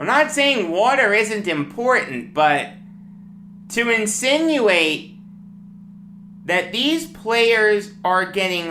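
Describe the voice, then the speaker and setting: With a Long Island accent and lively intonation, a woman speaks over music in the background, with audible room echo. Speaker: sports talk host. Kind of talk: sports commentary monologue. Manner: animated.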